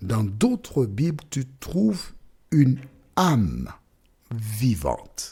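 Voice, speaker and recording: A somewhat breathy, dark, mellow voice at a very slow pace, with very wide pitch swings and long, frequent pauses. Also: man, medium pitch for a man. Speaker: bible teacher. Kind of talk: bible teaching. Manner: slow, deliberate; pauses often.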